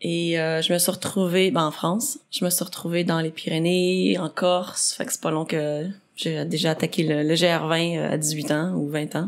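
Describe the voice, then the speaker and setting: This woman has a normal speaking voice, fairly low in pitch, with fairly even intonation. She talks at a moderate pace with hardly any pauses. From Quebec, Saint-Jérôme (Rive-Nord). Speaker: athlete and adventurer. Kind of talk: podcast interview.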